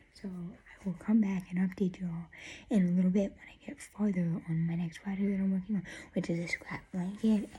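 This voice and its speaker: A woman with a dark, mellow, somewhat breathy voice at medium pitch talks at a fairly quick pace with fairly even intonation and big swings in loudness. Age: 20s. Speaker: crochet vlogger. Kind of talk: casual vlog. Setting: at home. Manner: soft-spoken.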